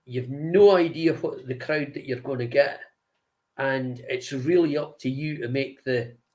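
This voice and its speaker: A man speaks with a Scottish accent at a fairly high pitch. His voice is somewhat breathy, with a fairly slow pace and ordinary pitch variation. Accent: Scottish (Angus). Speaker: singer and guitarist. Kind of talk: interview. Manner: halting.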